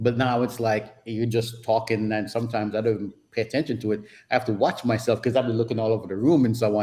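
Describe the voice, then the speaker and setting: Talking at a very fast pace, a man with a Jamaican accent has a dark, mellow tone and a somewhat breathy voice. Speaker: photographer and travel YouTuber. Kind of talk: casual chat. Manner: speeds up and slips into patois when excited.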